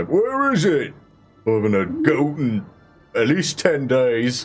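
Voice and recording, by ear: Using a put-on character voice, a man speaks at a fairly slow pace in a fairly high pitch. Faint music plays in the background.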